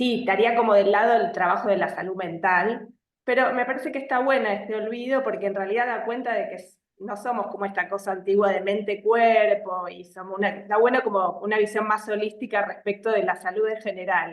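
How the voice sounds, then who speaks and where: A woman with an Argentine accent speaks at a fairly quick pace with hardly any pauses. Her intonation stays fairly even. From Argentina. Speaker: psychologist. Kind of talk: live video interview. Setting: live stream. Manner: hesitant, many fillers.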